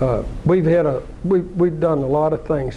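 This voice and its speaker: A man speaks with an Arkansas accent at a moderate pace. His pitch is fairly high. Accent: Southern US (Arkansas). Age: 80s+. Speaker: businessman, car dealer. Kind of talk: talk to an audience, personal story. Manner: halting, many repeats.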